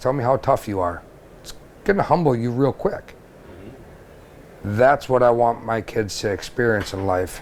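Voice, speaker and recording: Male speech at a medium pitch and a moderate pace. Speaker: fishing guide. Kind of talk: podcast interview. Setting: fish house at a trade show. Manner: loud; animated.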